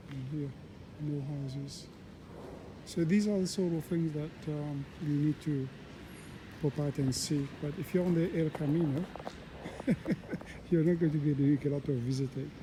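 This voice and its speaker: Soft-spoken, a man talks at a fairly high pitch and a moderate pace. His intonation is fairly even, with long, frequent pauses. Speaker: travel vlogger, pilgrim walker. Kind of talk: casual walking vlog narration. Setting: outdoors, walking in a town. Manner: halting, many fillers.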